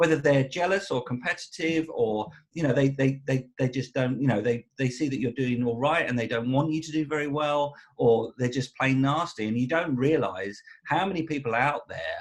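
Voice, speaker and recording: A man with an Essex accent speaks at a moderate pace in a fairly high, somewhat breathy voice with ordinary pitch variation. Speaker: musician. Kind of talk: casual interview chat. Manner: halting, many repetitions.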